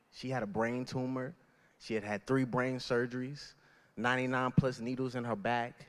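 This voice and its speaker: In an ordinary speaking voice, a man with an American accent speaks at a moderate pace and medium pitch on a very clean recording with a silent background. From Virginia, US South (Danville). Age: 20s. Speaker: event MC. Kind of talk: speech.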